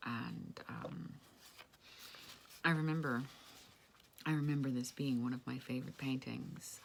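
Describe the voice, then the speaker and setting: A woman's very deep, low pitch with ordinary variation, a fairly slow pace and long, frequent pauses. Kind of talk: casual talk to camera. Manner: hesitant, rambling.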